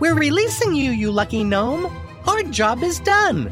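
Over clear music in the background, a man uses a put-on character voice. It is extremely high-pitched, at a moderate pace. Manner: comic sing-song rhyming.

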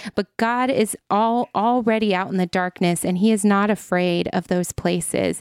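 A woman with a plain, everyday voice and an American accent speaks at a moderate pace and medium pitch, with fairly even intonation and very even loudness, recorded very cleanly in a dry, close sound with no echo and a silent background. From US Midwest, Ohio. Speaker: ministry founder. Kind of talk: faith testimony in casual conversation.

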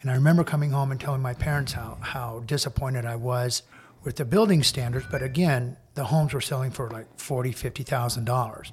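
Somewhat breathy and with an American accent, the speaker talks at a fairly quick pace with fairly even intonation. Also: man, medium pitch for a man. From US Midwest, small-town Indiana. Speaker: interior designer. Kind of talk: casual interview. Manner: direct, straightforward.

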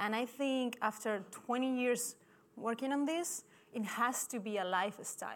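Moderate pace and ordinary pitch variation from a woman with a high pitch. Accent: non-native. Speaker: sports scientist, performance director. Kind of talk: conference talk. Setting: stage with audience. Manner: halting.

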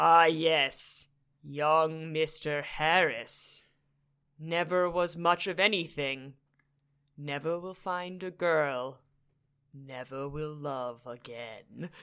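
A booming, menacing put-on character voice at middle pitch, very slow, with long, frequent pauses. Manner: menacing, gloating.

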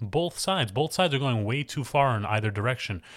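The recording is very clean, with a silent background. A man talks fairly quickly with lively intonation. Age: young. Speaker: podcast host. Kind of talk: casual monologue. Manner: unscripted, halting.

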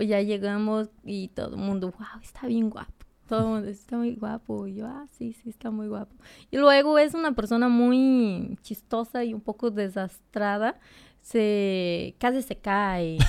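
This woman speaks at a fairly slow pace in a fairly high pitch, her pitch varying an ordinary amount while her loudness swings widely. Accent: Brazilian. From Brazil, near the Bolivian border. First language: Portuguese (speaking Spanish). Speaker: nurse. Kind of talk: casual interview chat.

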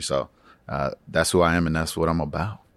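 A man with an American accent speaks at a fairly quick pace in a very deep, low pitch with vocal fry. The recording is very clean, with a silent background. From Atlanta, Georgia, US. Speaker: education policy staffer. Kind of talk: interview conversation. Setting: recorded at a conference.

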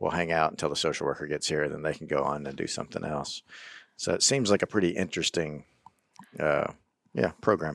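A man talks with a very deep, low pitch and ordinary pitch variation. His pace is fairly quick. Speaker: podcast host. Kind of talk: casual interview conversation.

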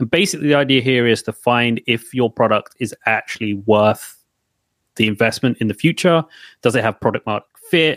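This is an ordinary speaking voice at a fairly quick pace with ordinary pitch variation, dry and close with no echo on a very clean recording with a silent background. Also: man, medium pitch for a man. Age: 30s. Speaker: developer advocate. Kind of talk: casual chat.

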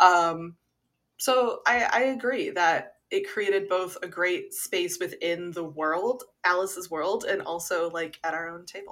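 Slow and fairly low-pitched, a woman speaks. Her tone is fairly bright. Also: ordinary pitch variation.

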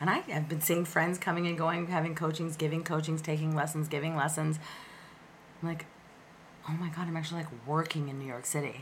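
Somewhat breathy and very deep and low in pitch, a woman talks at a fairly quick pace with audible room echo. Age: 40s. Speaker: opera singer and actress. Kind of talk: casual chat. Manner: animated.

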